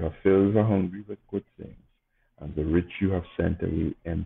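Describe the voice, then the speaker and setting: A man's very deep, low voice at a moderate pace, with monotone, flat intonation. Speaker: clergy reading prayers. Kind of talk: liturgical service, prayers read aloud and brief homily. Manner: solemn, reverent, fervent, measured. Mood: calm, reverent. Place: home room.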